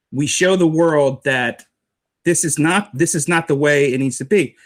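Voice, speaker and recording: In an unremarkable speaking voice with an American accent, the speaker talks at a fairly slow pace on a very clean recording with a silent background. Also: man. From United States. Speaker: street preacher, writer. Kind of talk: interview answer.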